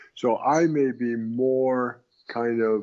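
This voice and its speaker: A man talks in a Californian accent with ordinary pitch variation. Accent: Californian American. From Southern California. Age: 70s. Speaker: Zen teacher. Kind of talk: interview. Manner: conversational, casual.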